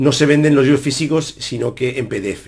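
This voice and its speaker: Somewhat breathy male voice over a quiet background. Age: 40s. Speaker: chess player and YouTuber; YouTuber. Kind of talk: casual Q&A monologue to viewers. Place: home room. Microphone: webcam.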